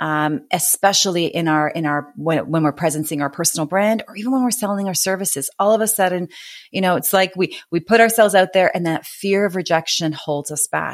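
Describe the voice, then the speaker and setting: A woman with a Canadian accent, medium pitch, ordinary pitch variation and a fairly quick pace. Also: hardly any pauses, very clean recording, silent background. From Canada. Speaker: author and business coach. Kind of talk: interview conversation.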